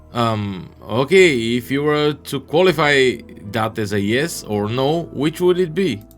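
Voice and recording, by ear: Someone is reading aloud in a natural voice, the intonation lively all the way through.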